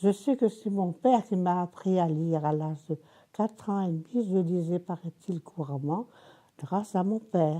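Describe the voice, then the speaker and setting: A woman's dark, mellow voice at a fairly slow pace. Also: medium pitch for a woman, ordinary pitch variation. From Tunisia, then Brittany (Landerneau). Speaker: elderly woman recounting her life. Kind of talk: oral history interview. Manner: halting.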